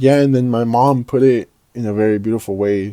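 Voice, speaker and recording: A man speaks here. His tone is dark and mellow. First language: Spanish. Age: 20s. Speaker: vlogger. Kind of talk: personal monologue about grief. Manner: halting, many fillers and repeated words; casual.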